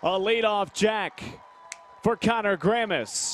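A man speaks at a very slow pace in a high voice. The sound is dry and close, with no echo. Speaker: play-by-play announcer. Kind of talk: live baseball play-by-play commentary. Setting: ballpark broadcast highlight package.

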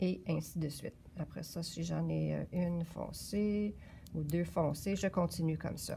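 A woman talks at a very slow pace. Light background noise can be heard. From Quebec. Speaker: yarn shop knitting presenter; presenter. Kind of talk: knitting tutorial. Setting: yarn shop. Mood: calm, patient. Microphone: phone near.

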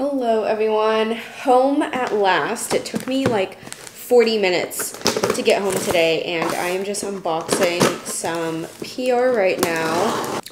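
This woman talks at a very slow pace. Noticeable background noise sits behind her. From Oregon, USA. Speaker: marketing coordinator and lifestyle content creator. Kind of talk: casual vlog talk to camera. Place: kitchen. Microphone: phone near.

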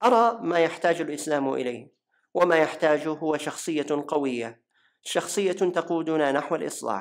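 Fairly slow speech in a Najdi accent. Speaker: voice-over translator. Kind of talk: religious lecture narration.

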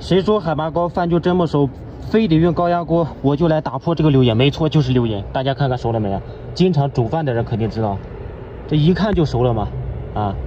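The man speaks at a fairly quick pace. Light background noise can be heard. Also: dry sound with no echo. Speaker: solo travel vlogger. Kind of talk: casual vlog chat. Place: garden. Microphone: phone near.

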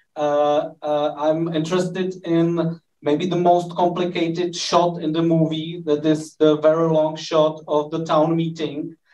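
A man's fairly high-pitched voice with a Czech accent, dark and mellow in tone, monotone and flat in intonation, at a fairly slow pace. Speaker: film critic. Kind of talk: moderated Q&A.

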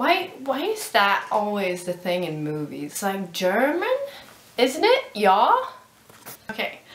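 A woman with a Swedish accent speaks at a very slow pace, leaving long, frequent pauses. Audible room echo surrounds her voice. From Sweden. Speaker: vlogger. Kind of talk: casual vlog. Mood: mildly annoyed. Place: home room. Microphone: webcam.

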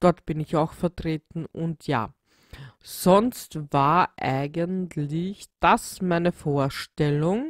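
A woman with a Viennese accent speaks at a very slow pace and a fairly low pitch, with ordinary pitch variation and a dry, close sound with no echo. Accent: Viennese Austrian German. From Austria, Vienna. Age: 30s. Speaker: podcaster. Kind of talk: solo podcast self-introduction. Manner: hesitant, many filler sounds.

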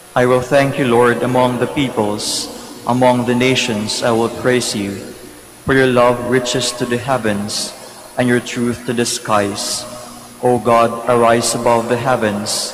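Music plays behind a man speaking at a medium pitch. He talks fairly slowly in a flat, monotone way. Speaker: mass commentator and prayer leader. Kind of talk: liturgical announcements and responsive prayer. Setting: church. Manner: formal, inviting.

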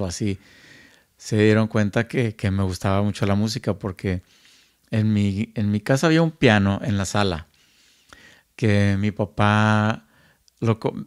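The sound is dry and close with no echo, the background silent and the recording very clean, as a man speaks at a fairly low pitch. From Monterrey, northern Mexico. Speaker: music producer and recording engineer. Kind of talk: casual chat. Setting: at home.

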